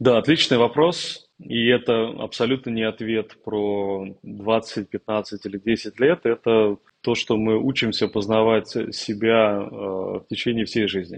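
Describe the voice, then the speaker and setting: Very slow, medium-pitched speech from a man with fairly even intonation and a dry, close sound with no echo. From Russia, Tambov. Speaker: corporate executive. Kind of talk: interview.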